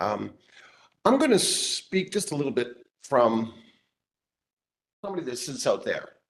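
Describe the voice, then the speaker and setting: A man talks at a fairly slow pace with long, frequent pauses. His high voice moves in very wide pitch swings. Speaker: property owner speaking at public hearing. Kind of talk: public comment at county board meeting. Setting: public meeting room.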